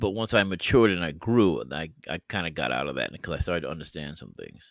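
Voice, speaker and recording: Vocal fry and lively intonation come through on a very clean recording with a silent background. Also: man. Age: 60s. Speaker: podcast host and bible teacher. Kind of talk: bible teaching monologue. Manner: halting, many fillers.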